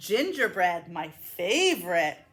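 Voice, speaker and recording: A woman performs a put-on character voice. Her pitch sits in the medium range. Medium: read story. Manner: booming, gluttonous.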